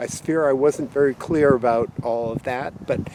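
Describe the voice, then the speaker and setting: Fairly slow speech from a man with ordinary pitch variation, dry with no echo, over noticeable background noise. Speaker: science teacher. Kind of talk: outdoor lesson. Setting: outdoors. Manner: halting. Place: open country. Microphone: phone near.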